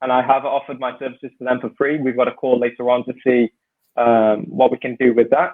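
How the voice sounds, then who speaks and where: A man with a British accent speaks at a very fast pace. His medium-pitched voice stays monotone, with flat intonation. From UK. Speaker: ex-professional footballer turned consultant. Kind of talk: casual interview chat. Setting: video call.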